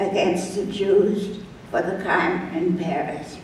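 A woman speaks at a very slow pace. Audible room echo and light background noise surround her voice. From Germany. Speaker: Holocaust survivor. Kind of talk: reading personal memoir to an audience. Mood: solemn, grave recollection. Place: church.

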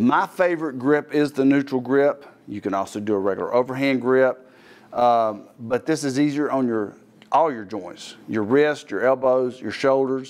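With ordinary pitch variation, a man speaks at a moderate speed. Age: 50s. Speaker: fitness trainer and TV host. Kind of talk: tutorial. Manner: casual, conversational. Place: gym. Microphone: lapel.

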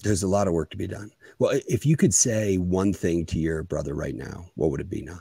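The voice has a dark, mellow tone at a fairly quick pace, with ordinary pitch variation, big swings in loudness, dry sound with no echo and a quiet background. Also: man, very deep, low pitch for a man. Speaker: podcast host. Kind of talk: casual interview. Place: office. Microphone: studio mic.

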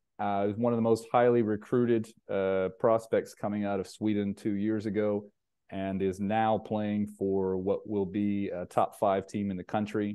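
At a fairly slow pace, a man speaks with fairly low pitch and monotone, flat intonation. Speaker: basketball coach and recruiting showcase host. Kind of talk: casual interview.

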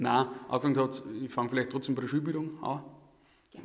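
Flat and monotone, a man's voice moves at a fairly quick pace. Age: 30s. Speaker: supply chain manager. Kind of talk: casual interview. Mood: relaxed, friendly. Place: studio. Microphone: studio mic.

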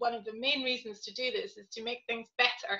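With a British accent, a woman speaks at a moderate pace in a fairly high pitch, her tone bright and sharp and her intonation fairly even, over a quiet background. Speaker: panel moderator. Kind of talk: panel moderation. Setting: video call. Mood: earnest, reflective. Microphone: webcam.

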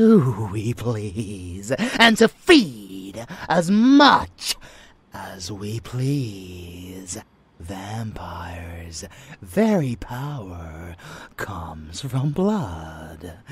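A put-on character voice comes through raspy and low-pitched at a very slow pace. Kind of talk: dark romance roleplay. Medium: audio drama. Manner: playful, teasing, affectionate; fanatical, contemptuous when preaching.

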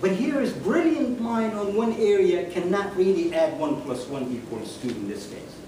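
A man speaks amid noticeable background noise. Audible room echo is present as well. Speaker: guest. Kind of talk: lecture. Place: hall. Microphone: camera far.

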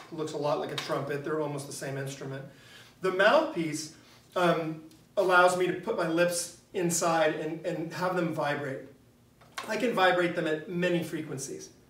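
With light background noise and audible room echo, a man at a high pitch speaks at a moderate pace with fairly even intonation. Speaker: teacher. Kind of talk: lecture. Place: classroom. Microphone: camera far.

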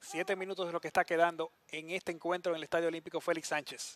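Delivered at a very fast pace, the words hold a flat, monotone intonation. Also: man. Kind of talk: live sports commentary, co-commentator analysis. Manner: measured, explanatory, conversational.

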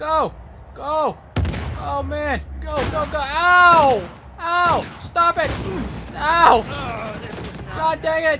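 Noticeable background noise runs beneath speech broken by long, frequent pauses. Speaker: gamer streamer. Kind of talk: live gameplay commentary with an angry rant, swearing and euphemisms like frick and dang. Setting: video game commentary.

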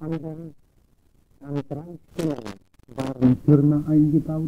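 Over light background noise, a man with a fairly high pitch speaks at a very slow pace in a dark, mellow tone. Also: fairly even intonation. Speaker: retired Protestant pastor. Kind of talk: slide show lecture on local history. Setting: old analog tape recording, poor sound. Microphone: old recording.

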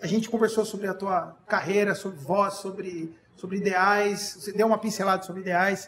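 Monotone, flat intonation from a man with a high pitch, at a moderate pace with hardly any pauses, over light background noise. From Brazil. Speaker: podcast host and band member; podcast host. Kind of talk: casual chat. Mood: warm, grateful. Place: studio. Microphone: studio mic.

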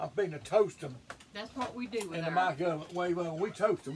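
With noticeable background noise behind him, a man speaks at a fairly quick pace in a high pitch. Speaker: home cook vlogger. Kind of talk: casual vlog chat. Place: kitchen. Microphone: camera far.

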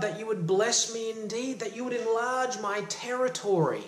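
Audible room echo surrounds a man's warm-toned voice, which sits high for a man. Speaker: self-help coach and motivational YouTuber. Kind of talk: fervent prayer-like devotional teaching, invoking blessing. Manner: earnest, impassioned, warm and uplifting, boldly pleading. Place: home room. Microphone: phone near.

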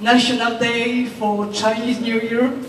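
Over light background noise and audible room echo, a woman speaks in a high pitch. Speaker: presenter. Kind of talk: corporate presentation speech. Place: hall. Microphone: pa.

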